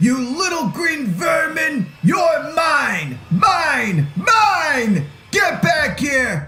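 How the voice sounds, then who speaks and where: A put-on character voice shouts at a very slow pace. The audio carries an audible echo. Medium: audio drama. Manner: screaming, furious.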